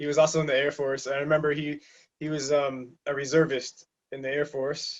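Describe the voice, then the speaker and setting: At a fairly quick pace, a man with a slight Massachusetts accent speaks in a monotone, flat intonation. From southeastern Massachusetts (Taunton). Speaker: navy sailor. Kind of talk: interview. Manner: halting, many fillers.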